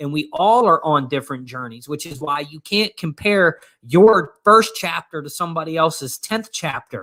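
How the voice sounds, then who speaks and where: A man's fairly high-pitched voice with a bright, sharp tone, at a moderate pace with hardly any pauses and big swings in loudness. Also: lively intonation. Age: 40s. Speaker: life coach. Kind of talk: casual chat.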